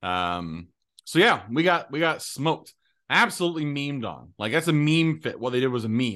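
Bright and sharp in tone, a man with a fairly high pitch talks at a moderate pace with very wide pitch swings. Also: quiet background. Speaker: co-host. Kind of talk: casual chat.

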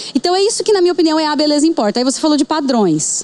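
A woman with lively intonation over noticeable background noise. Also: dry, close sound with no echo. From Paraná, Brazil (Bandeirantes). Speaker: entrepreneur, aesthetics physiotherapist. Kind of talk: casual interview chat.

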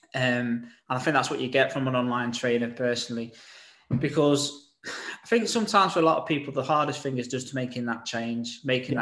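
A man talks very fast at a medium pitch, with ordinary pitch variation. He has an English accent. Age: 40s. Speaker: podcast host and personal trainer. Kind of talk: casual chat.

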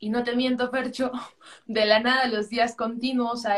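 This woman speaks at a moderate pace with a fairly high pitch. Her intonation is monotone and flat. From Peru, Arequipa. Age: 20s. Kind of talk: interview. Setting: live video call on social media.

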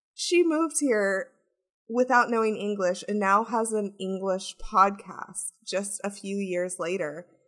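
At a fairly slow pace, a woman speaks in a plain, everyday voice of medium pitch with ordinary pitch variation. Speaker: podcast host and producer. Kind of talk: podcast interview.

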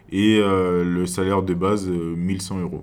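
Audible room echo carries a man's very deep, low voice, spoken with monotone, flat intonation. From French Guiana, Cayenne. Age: young. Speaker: gendarme. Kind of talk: interview. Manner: halting.

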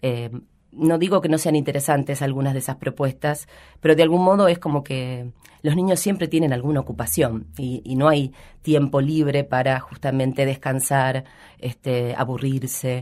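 At a moderate pace, a woman with a very deep, low pitch and a dark, mellow tone speaks with ordinary pitch variation. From Buenos Aires province, Argentina (Rojas). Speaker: educator / childhood expert. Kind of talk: radio interview.

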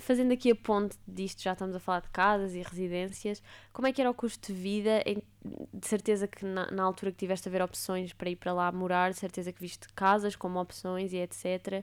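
A woman's plain, everyday voice, fairly quick and fairly even in intonation, with big swings in loudness and a very clean recording with a silent background. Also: medium pitch for a woman. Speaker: podcast host. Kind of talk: casual interview chat.

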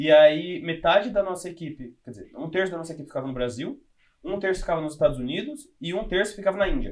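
A man speaks at a very fast pace in a high voice. His pitch swings very widely and his loudness rises and falls a lot. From interior of São Paulo state, Brazil (Louveira). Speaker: software developer. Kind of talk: casual interview chat.

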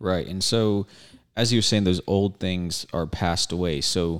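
A man's very deep, low pitch at a fairly slow pace, with fairly even intonation. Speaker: co-host, Bible discussion.

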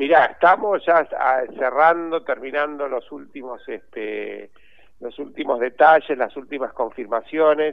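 With big swings in loudness, a man speaks at a fairly slow pace in a fairly high pitch with ordinary pitch variation. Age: 60s. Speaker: journalist and cultural manager. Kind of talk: interview. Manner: halting, many repetitions.

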